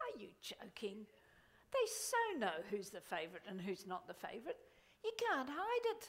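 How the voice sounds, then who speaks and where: A woman with a high voice speaks with very wide pitch swings. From India till five, then England. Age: 60s. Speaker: motivational speaker. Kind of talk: keynote speech. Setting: stage with audience. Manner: animated.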